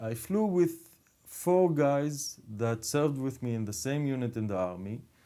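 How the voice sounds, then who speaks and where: A man with an Arabic accent speaks at a fairly slow pace in a medium pitch, his dark, mellow tone carrying very wide pitch swings. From Israel, Druze community. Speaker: podcast host. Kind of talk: casual conversation.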